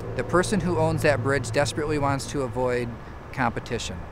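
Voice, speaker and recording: There is noticeable noise behind a man's voice. The sound is dry with no echo, and his pitch varies in an ordinary way. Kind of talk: political statement to camera. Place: waterside.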